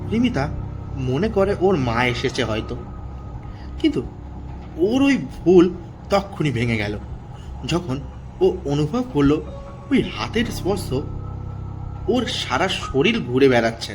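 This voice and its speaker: The speaker's pitch swings very widely while music plays in the background. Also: man, fairly high pitch for a man. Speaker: horror story narrator / channel host. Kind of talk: horror story narration. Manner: suspenseful storytelling.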